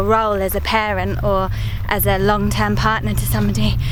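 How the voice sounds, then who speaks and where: A woman speaks at a moderate pace. The recording has audible room echo and noticeable background noise. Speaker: parenting and lifestyle vlogger. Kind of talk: vlog monologue. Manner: relaxed, conversational.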